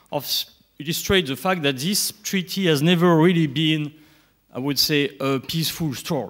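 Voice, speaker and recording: A man with a French accent speaks at a moderate pace, his fairly high pitch moving with ordinary variation. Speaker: nuclear industry director. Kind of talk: conference talk. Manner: halting.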